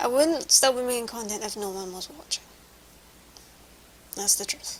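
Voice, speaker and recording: A woman's fairly high voice at a moderate pace, with ordinary pitch variation over noticeable background noise. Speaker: vlogger. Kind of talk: casual vlog monologue. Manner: halting.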